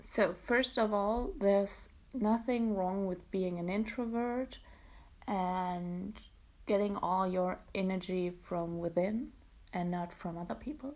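A woman with a German accent, medium pitch, ordinary pitch variation and a very slow pace. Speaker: podcaster, university student. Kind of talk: casual solo monologue. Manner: hesitant with fillers and self-corrections.

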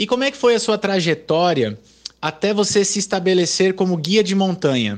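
Using lively intonation, a man speaks at a high pitch and a moderate pace. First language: Portuguese (speaking Spanish). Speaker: radio host. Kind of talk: radio interview.

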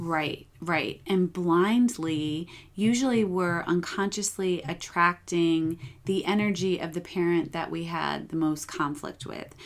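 A woman's ordinary speaking voice, fairly low in pitch and fairly slow, with ordinary pitch variation and an American accent. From upstate New York. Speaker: psychotherapist. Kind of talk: podcast interview.

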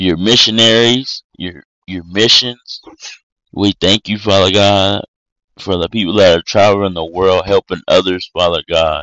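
A man speaks at a fairly low pitch. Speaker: prayer podcast host. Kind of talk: fervent prayer, repetitive and petitionary, in a devotional tone; scripture reading and short devotional teaching. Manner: earnest, impassioned, rhythmic repetition of 'Father God' between phrases; slightly halting, self-correcting, stumbles over words.

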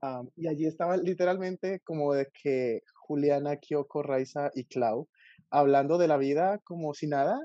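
A man with a Colombian accent talks in a dark, mellow tone with ordinary pitch variation, the sound dry and close with no echo. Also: fairly high pitch for a man. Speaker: YouTube book reviewer. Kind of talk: casual chat.

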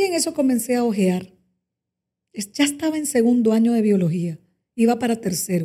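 Her voice is fairly high for a woman, dark and mellow in tone, and swings very widely in pitch. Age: 40s. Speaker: communications director. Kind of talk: interview testimony.

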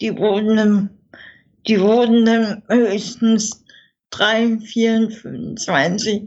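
A woman with a fairly high pitch speaks at a very slow pace in a monotone, flat way, with long, frequent pauses. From Saxony, eastern Germany (Görlitz, Dresden). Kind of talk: interview, personal life story.

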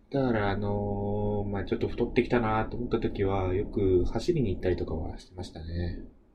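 The speech moves at a fairly quick pace with hardly any pauses. Loudness swings widely, and room echo is audible. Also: man. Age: 20s. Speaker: podcast host. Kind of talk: casual solo talk.

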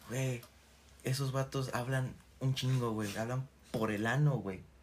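Here is a man with a Mexican accent at medium pitch. His voice is somewhat breathy. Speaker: podcast co-host. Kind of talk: casual chat. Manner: animated.

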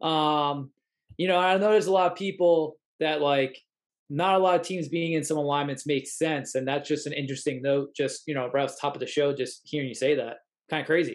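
Fairly quick and fairly even in intonation, a man speaks with an American accent at a fairly high pitch. He has a plain, everyday voice. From Long Island, New York (Suffolk County). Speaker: podcast host. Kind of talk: interview.

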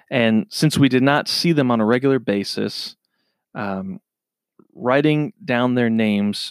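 In a normal speaking voice with an American accent, a man speaks with lively intonation at medium pitch, recorded very cleanly against a silent background with a dry, close sound and no echo. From Minnesota. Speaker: podcast host. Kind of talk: solo podcast monologue.

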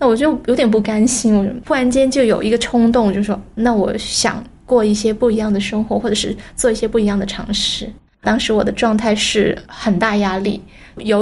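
Somewhat breathy and fairly high-pitched, a woman speaks with fairly even intonation. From Guangzhou, China. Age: 30s. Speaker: entrepreneur. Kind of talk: personal testimony.

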